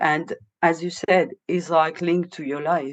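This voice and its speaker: A woman with a French accent speaks very slowly against a quiet background. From France, Moroccan family. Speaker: vocalist and improviser. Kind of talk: casual podcast interview. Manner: halting, many fillers.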